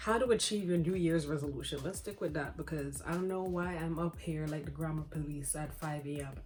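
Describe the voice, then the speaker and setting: A woman whispering quietly at a fairly quick pace, hardly any pauses, music in the background. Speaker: self-help vlogger. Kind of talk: casual vlog talk. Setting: at home, early morning. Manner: quiet, whispered.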